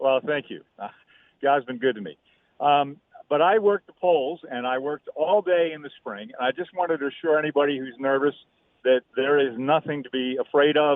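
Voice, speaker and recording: With big swings in loudness, a man speaks at a moderate pace in a fairly high pitch with ordinary pitch variation. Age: 60s. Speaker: caller, poll worker. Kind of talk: phone-in call. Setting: phone call.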